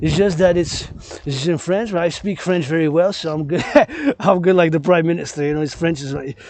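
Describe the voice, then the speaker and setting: Amid noticeable background noise, a man with a high voice speaks at a fairly quick pace with fairly even intonation. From Quebec. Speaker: vlogger. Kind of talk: walking vlog monologue. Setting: outdoors.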